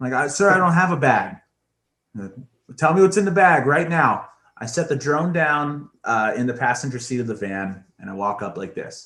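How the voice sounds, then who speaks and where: A man with an American accent speaks at a moderate pace. His voice shows vocal fry and very wide pitch swings. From Pennsylvania, US. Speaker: musician and podcast host. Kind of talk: casual storytelling chat. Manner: animated.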